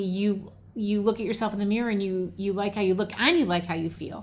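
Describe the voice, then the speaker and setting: At a moderate pace, a woman talks. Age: 60s. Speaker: lifestyle vlogger. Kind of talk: casual chat. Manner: halting.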